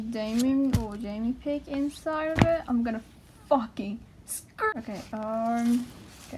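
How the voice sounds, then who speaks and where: A woman speaks in a high voice with ordinary pitch variation. Noticeable background noise can be heard. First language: not English. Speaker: fan vlogger. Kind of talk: casual talk to camera. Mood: excited, hesitant fan. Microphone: phone near.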